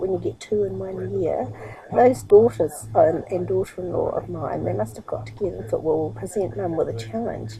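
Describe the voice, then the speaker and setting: A woman with a New Zealand accent talks with hardly any pauses over noticeable background noise. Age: 60s. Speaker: internet marketer and vlogger. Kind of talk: casual vlog monologue. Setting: sitting on her bed at home. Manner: fast, rushing.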